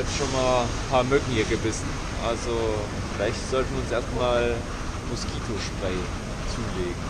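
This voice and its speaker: Over loud background noise, a man talks with long, frequent pauses. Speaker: travel vlogger. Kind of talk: casual vlog chat. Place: station. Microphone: phone near.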